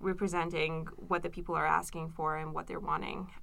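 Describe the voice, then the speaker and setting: A woman with a Persian accent speaks in a fairly low voice, her tone bright and sharp and her intonation flat and monotone. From Iran, Tehran. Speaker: graduate student and activist. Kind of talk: interview.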